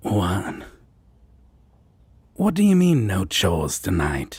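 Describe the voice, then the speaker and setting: Putting on a character voice, a man talks fairly slowly at a fairly low pitch. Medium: audio drama. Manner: teasing, casual.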